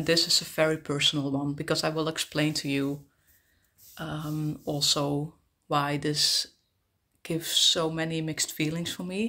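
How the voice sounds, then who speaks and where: Against a quiet background, a woman with a Dutch accent speaks at a very deep, low pitch in a bright, sharp tone, leaving long, frequent pauses. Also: fairly even intonation, moderate pace. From Netherlands. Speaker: travel vlogger. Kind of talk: casual vlog monologue. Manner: halting, many fillers. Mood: personal, reflective. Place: home room. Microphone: phone near.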